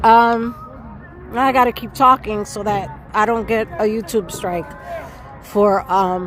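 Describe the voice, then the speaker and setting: Over crowd noise in the background, a woman speaks at a very slow pace with long, frequent pauses and ordinary pitch variation. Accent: American. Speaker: livestreamer. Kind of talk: live street stream commentary. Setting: outdoors, music playing nearby. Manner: loud.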